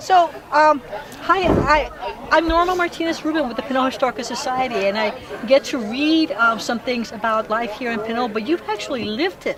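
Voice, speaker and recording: Over crowd noise in the background, someone speaks at a fairly quick pace with lively intonation and an American accent. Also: woman, high pitch for a woman. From Los Angeles. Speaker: historical society interviewer. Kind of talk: oral history interview.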